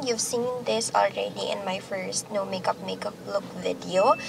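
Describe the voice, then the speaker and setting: At a fairly slow pace, a woman speaks in a dry sound with no echo over noticeable background noise. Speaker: beauty vlogger. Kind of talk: makeup tutorial, casual vlog chat. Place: car. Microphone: phone near.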